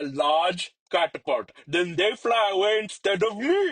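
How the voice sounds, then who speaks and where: A man's drawling, put-on character voice, high in pitch, with ordinary pitch variation at a moderate pace. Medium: read story. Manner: drawling, flamboyant, playful.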